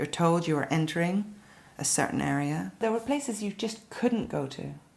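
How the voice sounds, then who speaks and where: A woman with a Belfast accent talks at a moderate pace with a fairly low pitch, vocal fry and lively intonation. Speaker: interviewee. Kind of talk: interview testimony.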